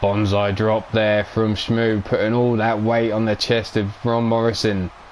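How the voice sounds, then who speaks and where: Flat, monotone delivery at a fairly slow pace, with noticeable background noise. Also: man, fairly low pitch for a man. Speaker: live-stream wrestling commentator and host. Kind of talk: live wrestling commentary.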